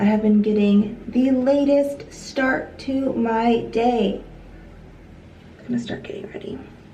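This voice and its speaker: A woman speaks very slowly in an American accent, her pitch fairly high and her intonation fairly even. Noticeable background noise and audible room echo fill the recording. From US Pacific Northwest, Seattle area. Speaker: lifestyle vlogger. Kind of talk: casual vlog talk to camera. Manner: casual, many fillers.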